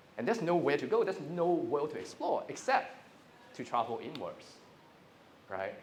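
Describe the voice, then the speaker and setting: Fairly quick speech in a Cantonese accent, with audible room echo and noticeable background noise. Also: man. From Hong Kong. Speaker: inspirational speaker. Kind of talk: motivational talk. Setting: stage with audience.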